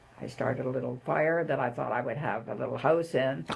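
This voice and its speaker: A woman with a Canadian accent speaks over noticeable background noise. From Canada, northern Ontario (Sudbury). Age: 80s+. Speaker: retired nurse and social worker. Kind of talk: interview conversation.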